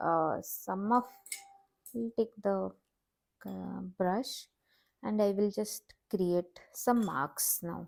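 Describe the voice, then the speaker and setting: A woman with a non-native accent speaks very slowly at a medium pitch, with ordinary pitch variation and long, frequent pauses. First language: not English. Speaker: watercolor art teacher. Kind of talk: tutorial. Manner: halting, many fillers.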